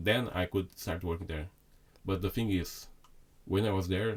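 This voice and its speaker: A man with a Brazilian accent speaks with fairly even intonation. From Brazil (Sao Paulo). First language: Portuguese. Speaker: chef. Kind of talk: casual chat. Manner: halting.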